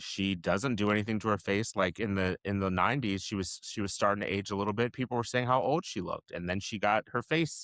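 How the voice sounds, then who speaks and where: A man's fairly low voice at a fairly quick clip, hardly any pauses, dry and close with no echo, on a very clean recording with a silent background. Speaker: comedy podcast co-host. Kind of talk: casual chat. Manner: animated.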